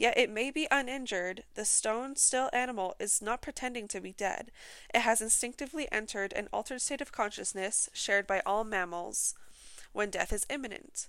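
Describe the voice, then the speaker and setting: On a very clean recording with a silent background, a normal speaking voice talks at a fairly quick pace with ordinary pitch variation. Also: woman, fairly high pitch for a woman. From British Columbia, Canada. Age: 20s. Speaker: podcast host. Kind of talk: casual solo podcast chat; reading documentary-style narration near 18:22. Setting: home recording. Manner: rambling, self-interrupting, chatty.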